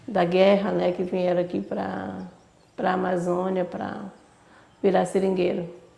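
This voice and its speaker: A woman speaks at a fairly slow pace with long, frequent pauses. Room echo is audible. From Brazil, Acre (Amazon rubber region). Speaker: rubber tapper. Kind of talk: interview testimony.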